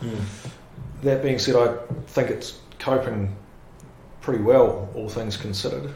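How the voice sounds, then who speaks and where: A man with a New Zealand accent, medium pitch, ordinary pitch variation and a fairly slow pace, long frequent pauses, noticeable background noise and audible room echo. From New Zealand, Palmerston North. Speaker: lawyer. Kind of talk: casual interview.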